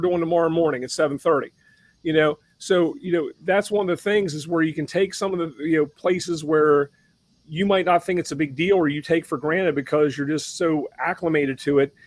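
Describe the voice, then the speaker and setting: Against a quiet background, a man talks at a very fast pace with a high pitch and fairly even intonation. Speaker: fire chief. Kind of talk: casual chat. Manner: halting, many fillers and repeats.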